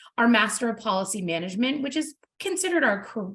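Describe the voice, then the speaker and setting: Speaking at a fairly quick pace, a woman with an American accent uses lively intonation. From US, New Jersey. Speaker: university admissions representative. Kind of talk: webinar presentation. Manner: fast.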